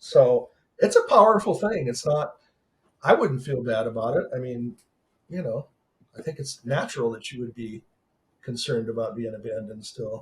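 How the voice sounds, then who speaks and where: Somewhat breathy, a man with medium pitch speaks at a moderate pace with lively intonation, big swings in loudness and long, frequent pauses. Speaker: author and motivational speaker. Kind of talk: casual chat.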